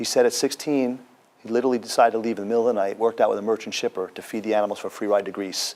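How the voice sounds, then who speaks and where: Over noticeable background noise, a man talks very fast at a medium pitch with fairly even intonation. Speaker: author and motivational speaker. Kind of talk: TV interview answer. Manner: conversational, earnest.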